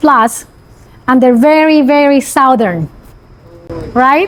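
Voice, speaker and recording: A woman's high voice, animated in tone, with ordinary pitch variation at a moderate pace amid noticeable background noise. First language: Spanish. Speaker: construction company CEO. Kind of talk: interview.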